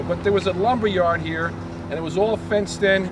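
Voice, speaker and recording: With noticeable background noise, a man in a New Jersey accent talks at a high pitch and a fairly quick pace. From Montclair, New Jersey. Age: 60s. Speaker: walking tour guide. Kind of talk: walking tour talk.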